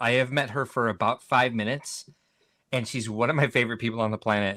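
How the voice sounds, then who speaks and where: On a very clean recording with a silent background, a man speaks at a medium pitch in an animated tone that sounds bright and sharp. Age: 40s. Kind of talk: casual chat.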